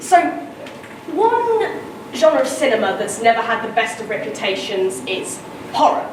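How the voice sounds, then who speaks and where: A woman speaks at a fairly slow pace with long, frequent pauses, over noticeable background noise and audible room echo. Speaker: student presenter. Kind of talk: conference presentation. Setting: conference room with small audience.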